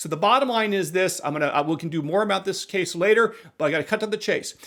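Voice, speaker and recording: A man with an American accent talks in an animated tone at a very fast pace, his pitch high for a man with ordinary variation. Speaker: constitutional lawyer and commentator. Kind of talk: legal news commentary.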